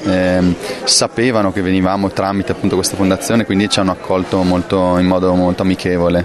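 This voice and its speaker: At a fairly quick pace, a man with a fairly low pitch talks over noticeable background noise. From northern Italy, Brescia area (Lake Garda). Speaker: film director. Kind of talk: interview. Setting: film festival. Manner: hesitant, many fillers.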